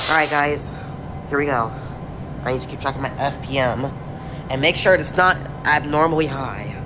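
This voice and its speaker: Speech at a moderate pace against noticeable background noise. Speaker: flight sim streamer. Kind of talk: live gameplay commentary. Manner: halting, repetitive.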